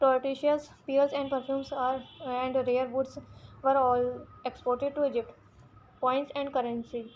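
With an Indian accent and a high pitch, a woman speaks at a fairly slow pace in monotone, flat intonation, taking long, frequent pauses. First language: Hindi. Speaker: online history teacher. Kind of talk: reading aloud from textbook in lecture. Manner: halting with repeated words and fillers.

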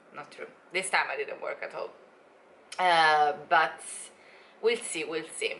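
This woman speaks at a fairly slow pace. Her speech has long, frequent pauses. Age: 20s. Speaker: travel vlogger. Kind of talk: casual vlog chat. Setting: at home, filming video. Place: home room. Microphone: phone near.

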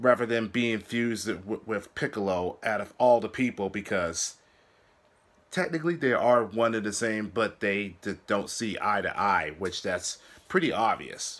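A man with an unremarkable speaking voice and a fairly low pitch talks at a fairly slow pace. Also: ordinary pitch variation. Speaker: anime reaction vlogger. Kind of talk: casual commentary. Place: home room. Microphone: earbuds.

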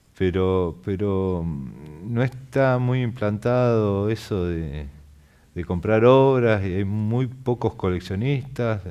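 A man's dark, mellow, fairly low-pitched voice with ordinary pitch variation at a very slow pace. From Argentina, Chubut (Patagonia); Chubut, Argentina. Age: 40s. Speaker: muralist painter; guest. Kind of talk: interview. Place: studio. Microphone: headset.

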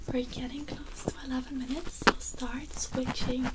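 A soft-spoken whisper at a fairly slow pace, under loud background noise. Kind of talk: soft-spoken ASMR roleplay instruction. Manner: soft ASMR whispered instructions. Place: home room. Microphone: studio mic.

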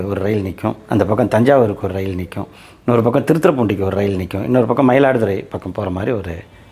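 Here a man talks in a fairly low voice. His pitch varies in an ordinary way. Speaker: local history YouTuber. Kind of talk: talk to camera about local history. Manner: halting, with pauses and fillers.

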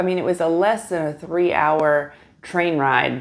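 A woman's voice, fairly low in pitch. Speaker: travel vlogger. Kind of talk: casual vlog chat. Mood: relaxed, chatty. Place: home room.

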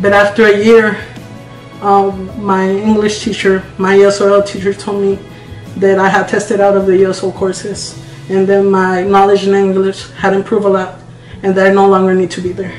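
A man speaks at a moderate pace in a high voice, with faint music behind him and audible echo in the room. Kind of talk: personal testimony, interview-style answer. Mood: earnest, proud. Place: kitchen. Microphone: phone near.

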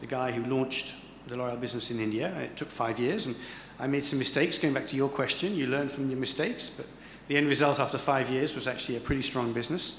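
Talking at a very fast pace with fairly even intonation, a man is heard over light background noise and audible room echo. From England. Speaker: corporate HR executive; guest lecturer. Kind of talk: lecture. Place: hall. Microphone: podium.

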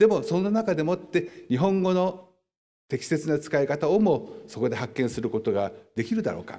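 A man with a dark, mellow tone and vocal fry speaks at a moderate pace, with very wide pitch swings. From Japan. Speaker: historian; lecturer. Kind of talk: lecture. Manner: formal. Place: hall. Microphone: podium.

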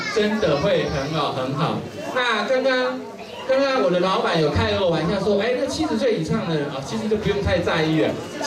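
Over crowd noise in the background, a man talks at a moderate pace. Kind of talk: speech to audience. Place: hall.

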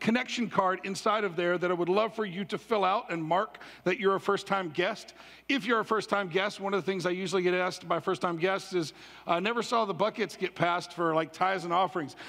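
This man's tone is bright and sharp, and his pace is fairly quick. His intonation is fairly even over a quiet background. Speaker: pastor. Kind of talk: sermon announcements. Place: church.

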